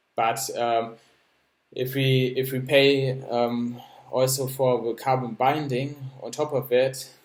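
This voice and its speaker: A man talks at a medium pitch. He speaks with a German accent. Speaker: project founder presenting a crypto project. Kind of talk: explainer presentation. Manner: halting, many fillers and repetitions.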